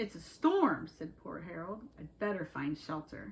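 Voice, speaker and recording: Using a put-on character voice, a woman speaks at a moderate pace with a fairly low pitch. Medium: read story. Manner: timid.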